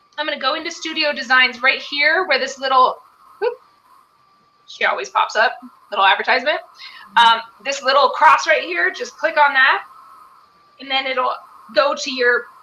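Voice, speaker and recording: A woman speaks with a high pitch and lively intonation in a raised, projected voice. Her delivery has long, frequent pauses. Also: moderate pace. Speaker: live webinar co-host. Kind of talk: tutorial.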